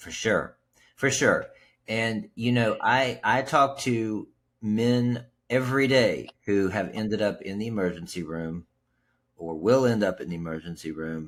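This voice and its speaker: In a plain, everyday voice, a man with an American accent talks at a fairly slow pace with lively intonation. His loudness swings widely across a very clean recording with a silent background. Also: medium pitch for a man. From West Virginia. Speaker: podcast host and sobriety coach. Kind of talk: podcast interview.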